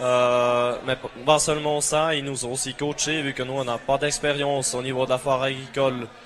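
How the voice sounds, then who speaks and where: A man with a Swiss German accent speaks at medium pitch and a moderate pace in a flat monotone, with noticeable background noise behind him. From Switzerland, Bern. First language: German (speaking French). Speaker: agricultural student, team captain. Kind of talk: interview. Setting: trade fair TV set. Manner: hesitant.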